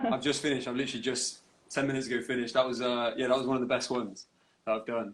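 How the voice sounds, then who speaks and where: Talking very fast, a man keeps a medium pitch in a monotone, flat delivery. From England. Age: 20s. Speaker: rock singer and guitarist. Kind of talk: casual interview chat. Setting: live social media video call.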